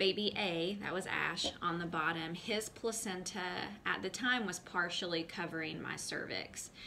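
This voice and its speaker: An American accent marks this woman's fairly low voice, bright and sharp in tone, with vocal fry and fairly even intonation. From US South, North Carolina. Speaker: mom vlogger. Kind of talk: personal testimony to camera. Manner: hesitant, many fillers.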